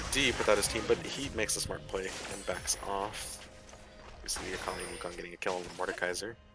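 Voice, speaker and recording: With music in the background, a man speaks at a fairly quick pace, his loudness swinging widely. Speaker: esports commentator. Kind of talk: live commentary. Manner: occasionally stumbling over words.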